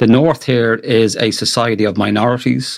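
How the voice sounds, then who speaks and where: Here a man with a medium pitch talks in an Irish accent. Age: 50s. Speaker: professor of green political economy. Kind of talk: academic panel discussion.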